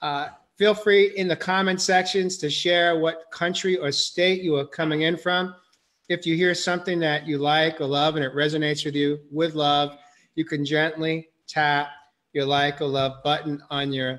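The background is quiet as a man speaks. His pace is moderate and his intonation fairly even. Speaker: show host. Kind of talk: interview host introduction. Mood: warm, gentle. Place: home room. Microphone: video call.

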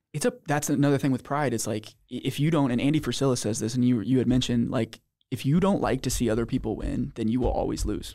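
A very fast man's voice with an American accent, vocal fry, a dark, mellow tone and fairly even intonation over a quiet background. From Missouri. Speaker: podcast host; podcast guest. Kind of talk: casual chat. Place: studio. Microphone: studio mic.

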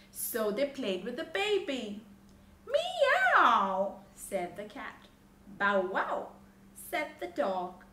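With long, frequent pauses and very wide pitch swings, a woman with a fairly high pitch speaks at a very slow pace, with audible room echo and light background noise. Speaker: storybook reader. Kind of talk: bedtime story reading aloud to children. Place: home room.

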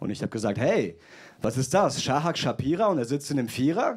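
Over light background noise, a man talks at a moderate pace with very wide pitch swings. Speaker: stand-up comedian. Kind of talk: roast battle, stand-up comedy with audience. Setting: stage with audience. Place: stage. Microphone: handheld.

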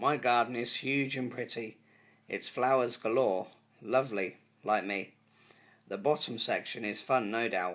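A man's upbeat voice at a fairly slow pace with ordinary pitch variation. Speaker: poet and YouTube creator. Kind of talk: poetry reading, introduced casually then read aloud. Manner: upbeat, friendly, earnest. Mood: earnest, pleased. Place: home room. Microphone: phone near.

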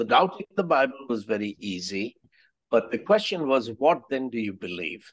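Against a quiet background, a man with an Indian accent speaks with very wide pitch swings. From India (Allahabad). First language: Hindi. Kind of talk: podcast interview. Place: home room. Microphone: webcam.

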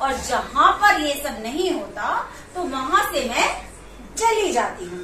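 A woman speaks in a raised, projected voice at a very slow pace. Noticeable background noise is present. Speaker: storyteller to children. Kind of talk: storytelling. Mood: warm, animated narration. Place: home room.

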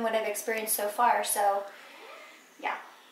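A woman talks at a very fast pace. Light background noise and audible room echo are present. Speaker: pregnant vlogger. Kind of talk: casual vlog chat. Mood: cheerful, hopeful. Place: home room. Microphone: phone near.

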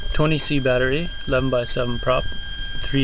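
There is noticeable background noise as a woman speaks, and the sound is dry with no echo. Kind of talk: tutorial.

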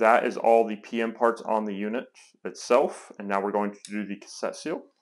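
In quiet surroundings, a man speaks at a moderate pace. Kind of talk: tutorial. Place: workshop. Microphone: lapel.

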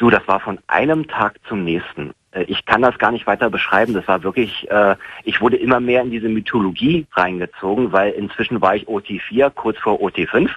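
The pace is moderate. Pitch varies an ordinary amount. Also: man. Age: 30s. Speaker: caller, former Scientology member. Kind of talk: phone-in conversation. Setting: phone call. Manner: halting, many fillers. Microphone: phone line.

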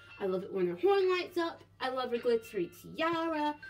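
Faint music sits behind a woman speaking at a moderate pace. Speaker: toy collector channel host. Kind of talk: toy collection show-and-tell. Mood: enthusiastic, admiring. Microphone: phone near.

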